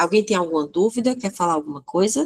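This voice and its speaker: A woman's voice with very wide pitch swings in a dry, close sound with no echo. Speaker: teacher. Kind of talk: online lecture. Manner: halting, with many fillers.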